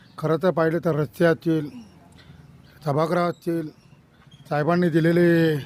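This man's voice sits fairly high and stays monotone, with flat intonation. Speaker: village political worker. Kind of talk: street interview.

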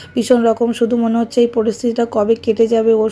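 This woman speaks in a fairly high pitch. Her tone is dark and mellow. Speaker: vlogger. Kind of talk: casual vlog monologue.

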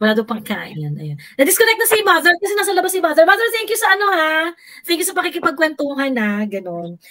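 With a raised, projected voice, a woman races at a very fast pace, her extremely high pitch swinging very widely in a bright, sharp tone. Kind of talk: casual chat. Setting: video call.

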